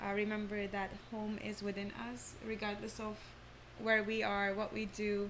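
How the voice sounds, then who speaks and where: Audible room echo follows a woman's medium-pitched voice as she speaks at a moderate pace in a monotone, flat way. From Turkey (Istanbul). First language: Turkish. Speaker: former ballet dancer and yoga teacher. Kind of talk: interview conversation. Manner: hesitant, many fillers.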